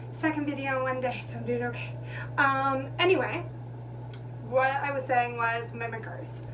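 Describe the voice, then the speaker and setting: A woman with a very deep, low pitch and monotone, flat intonation, speaking at a moderate pace with long, frequent pauses amid audible room echo and noticeable background noise. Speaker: vlogger. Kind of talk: storytime monologue. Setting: bathroom. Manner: loud.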